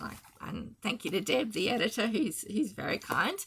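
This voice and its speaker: A woman speaks with an Australian accent at a moderate pace. Her voice is fairly high, and her intonation is lively. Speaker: cross-stitch designer and video host. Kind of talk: casual chat. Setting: home video, early morning.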